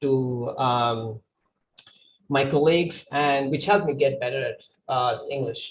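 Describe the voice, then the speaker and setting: Here a man speaks fairly slowly at a fairly high pitch. His voice is somewhat breathy, with ordinary pitch variation. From India. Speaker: 3D artist. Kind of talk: conference talk. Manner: hesitant, many fillers.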